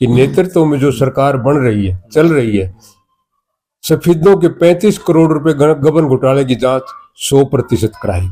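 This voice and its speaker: A man speaks with a fairly high pitch and lively intonation. It is a normal speaking voice. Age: 60s. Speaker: local activist. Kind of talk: news interview.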